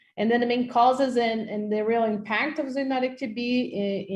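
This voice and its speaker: A woman with a Portuguese accent and a somewhat breathy voice speaks at a moderate pace. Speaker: microbiology professor. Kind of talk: lecture. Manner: halting, many fillers.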